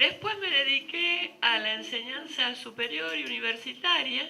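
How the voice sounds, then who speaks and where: Over noticeable background noise and audible room echo, a high-pitched woman speaks at a fairly slow pace with very wide pitch swings. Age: 70s. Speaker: philosophy professor. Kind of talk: lecture.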